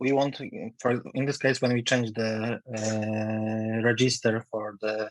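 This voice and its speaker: A man speaks with a Polish accent in a monotone, flat intonation. The sound is dry and close, with no echo. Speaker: meeting participant. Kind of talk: Q&A in online meeting. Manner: halting, hesitant.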